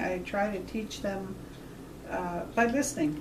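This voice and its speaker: With lively intonation, a woman speaks at a moderate pace, with audible room echo and noticeable background noise. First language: Washoe. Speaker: Native language teacher. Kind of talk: interview.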